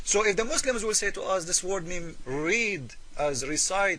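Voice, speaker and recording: The voice belongs to a man. He speaks in a raised, projected way. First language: Arabic. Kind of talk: polemical commentary video. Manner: hesitant with fillers.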